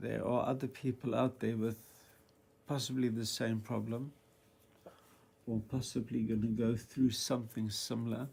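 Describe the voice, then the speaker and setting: Monotone, flat delivery at a moderate pace, somewhat breathy, with long, frequent pauses. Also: man, medium pitch for a man. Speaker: vlogger sharing cancer experience. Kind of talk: casual monologue vlog. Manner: halting, with fillers.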